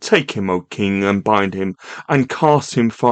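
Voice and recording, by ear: The passage is read aloud in a natural voice.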